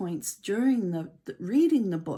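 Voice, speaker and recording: A woman's fairly high voice with a dark, mellow tone and very wide pitch swings. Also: very clean recording, silent background. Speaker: author and speaking coach. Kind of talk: interview.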